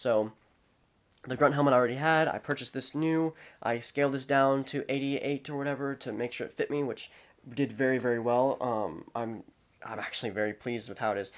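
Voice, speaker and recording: The background is quiet as a man talks at a fairly quick pace. His pitch varies in an ordinary way. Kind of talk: casual show-and-tell explanation. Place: home room.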